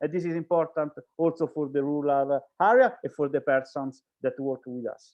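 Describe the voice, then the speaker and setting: With an Italian accent, a man speaks at a moderate pace with ordinary pitch variation. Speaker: speaker from an organization. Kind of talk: panel discussion. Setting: online event. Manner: halting.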